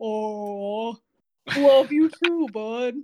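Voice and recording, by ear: This is a put-on character voice that sounds female. It sits at a fairly high pitch.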